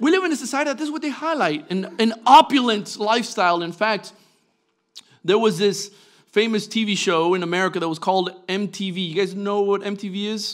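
A man speaks at a moderate pace with a high pitch and ordinary pitch variation. The background is quiet. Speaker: preacher. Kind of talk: sermon. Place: church. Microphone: podium.

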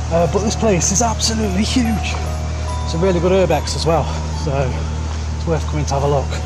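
Fairly quick delivery over clear background music. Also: man. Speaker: urbex vlogger. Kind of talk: casual vlog chat. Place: forest. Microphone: phone near.

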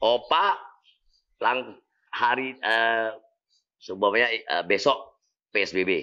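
A man speaks at a very slow pace, leaving long, frequent pauses. His tone is bright and sharp, with ordinary pitch variation. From Indonesia, North Sumatra (Medan). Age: 60s. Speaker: YouTuber. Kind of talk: casual Q&A vlog. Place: home room. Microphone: lapel.

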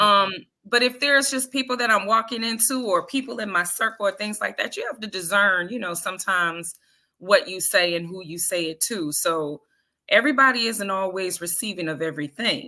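Against a quiet background, the bright, sharp tone moves at a fairly quick pace with lively intonation and big swings in loudness. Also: woman. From Detroit. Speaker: spoken word artist; guest. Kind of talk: interview. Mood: passionate, critical. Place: home room.

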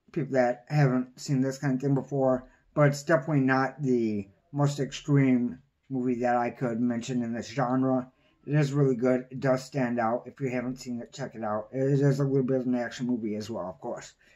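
A man speaks at a fairly quick pace in a dark, mellow tone. The background is quiet. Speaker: movie reviewer. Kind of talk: casual vlog chat. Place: home room. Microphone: phone near.

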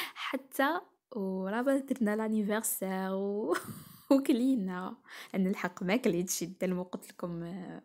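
A woman with an Algerian accent speaks very slowly at a medium pitch. The recording is very clean, with a silent background. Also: ordinary pitch variation. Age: 20s. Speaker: cooking and lifestyle vlogger. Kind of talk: vlog narration.

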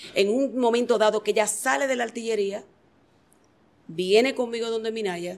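With a Dominican accent, a woman talks at a moderate pace and with ordinary pitch variation. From Dominican Republic. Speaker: singer and dancer; interviewee. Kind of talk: interview. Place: studio. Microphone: handheld.

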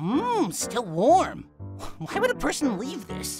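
A man speaks at a fairly slow pace in a put-on character voice with an extremely high pitch. Clear music plays in the background. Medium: dub.

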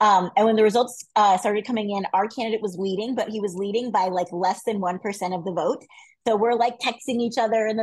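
A woman speaks at a fairly quick pace in a fairly high pitch, sounding enthusiastic against a quiet background. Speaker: regional field director. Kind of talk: online briefing. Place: home room. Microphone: earbuds.

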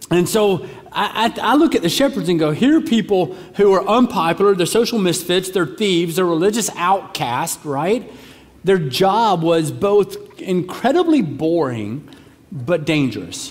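With lively intonation, a man delivers his words fairly slowly. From US South. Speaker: pastor. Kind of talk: sermon. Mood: warm, humorous at times. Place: church. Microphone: headset.

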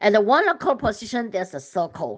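A woman speaks with a Chinese accent, her pitch swinging very widely. The background is quiet. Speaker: religious vlogger. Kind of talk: sermon-style vision sharing. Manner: hesitant with fillers.

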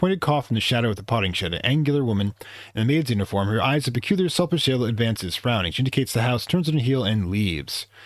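Lively intonation runs through the unforced reading voice.

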